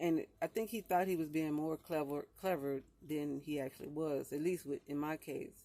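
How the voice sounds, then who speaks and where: Moderately paced speech from a woman with a very deep, low pitch. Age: 50s. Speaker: vlogger. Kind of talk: casual storytelling monologue. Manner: halting, many fillers.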